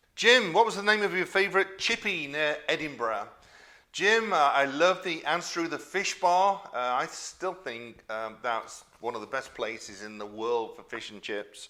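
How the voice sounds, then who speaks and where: In a very clean recording with a silent background, a man speaks fairly slowly at a fairly high pitch, his bright, sharp tone showing very wide pitch swings and big swings in loudness. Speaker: former royal chef and YouTube cook. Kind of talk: casual Q&A to camera. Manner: conversational with many fillers.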